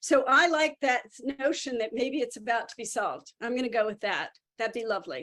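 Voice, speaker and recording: Talking at a fairly quick pace, a woman has a high pitch, a bright, sharp tone and ordinary pitch variation. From not Boston. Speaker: art historian and museum guide. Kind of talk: lecture Q&A. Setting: video call. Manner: hesitant, many fillers.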